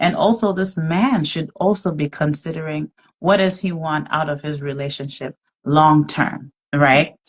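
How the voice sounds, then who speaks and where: Speaking at a fairly slow pace, a woman with a very deep, low, somewhat breathy voice shows ordinary pitch variation. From outside the US. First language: not English. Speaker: podcast host. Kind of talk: faith-based casual discussion. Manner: conversational with many fillers.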